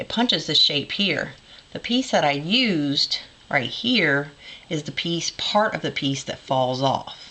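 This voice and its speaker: With a very deep, low pitch, a woman talks at a fairly slow pace, her voice swinging very widely in pitch. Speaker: crafter, former scrapbook store owner. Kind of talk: casual craft show-and-tell to camera.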